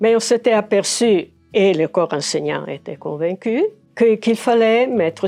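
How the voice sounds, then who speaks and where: This woman's voice has a dark, mellow tone and lively intonation. Her pace is fairly slow. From Aosta Valley, Italy. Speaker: retired educator. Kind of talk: interview. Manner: halting, many fillers.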